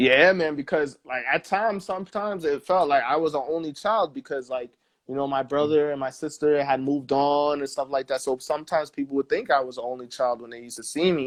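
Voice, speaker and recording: Talking at a very fast pace with hardly any pauses, a man with a New York accent and a fairly high pitch shows big swings in loudness and ordinary pitch variation. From New York, Staten Island. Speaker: musician. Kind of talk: interview. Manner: casual.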